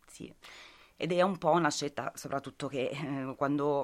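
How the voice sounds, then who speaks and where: On a very clean recording with a silent background, a woman with a very deep, low pitch speaks at a moderate pace. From Abruzzo, Italy (Lanciano, province of Chieti). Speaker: former working student, radio collaborator. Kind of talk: interview testimony.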